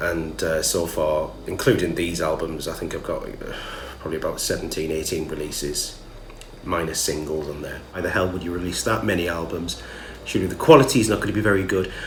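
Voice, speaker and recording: A man with a Geordie accent talks fairly quickly at a very deep, low pitch. Noticeable background noise and audible room echo fill the recording. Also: ordinary pitch variation. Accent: Geordie (Newcastle). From northern England, Newcastle. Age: 30s. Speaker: musician. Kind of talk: casual vlog monologue.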